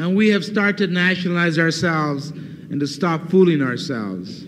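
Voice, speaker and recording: With an American accent, a man talks at a fairly slow pace. His pitch varies in an ordinary way, and there is noticeable background noise. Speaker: Chicano movement leader and activist. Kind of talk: political speech to a student audience. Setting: university lecture hall, 1969 recording. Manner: fiery, passionate, persuasive.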